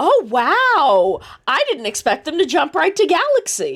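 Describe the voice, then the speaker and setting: A woman uses a put-on character voice. Her pitch is extremely high and swings very widely. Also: moderate pace. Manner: upbeat, performative, audience-facing.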